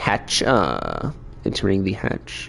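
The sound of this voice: A man puts on a character voice. Background noise is clearly audible.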